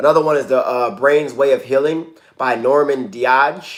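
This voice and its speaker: A man with an unremarkable speaking voice, fairly high in pitch, with fairly even intonation at a moderate pace. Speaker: wellness coach. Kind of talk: casual livestream talk.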